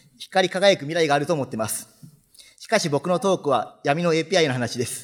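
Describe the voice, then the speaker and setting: A man talks at a fairly quick pace in a fairly high voice, with a quiet background behind him. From Japan, Fukuoka; Japan. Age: 30s. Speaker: software developer; conference speaker. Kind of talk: conference talk. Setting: stage with audience. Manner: formal. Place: hall.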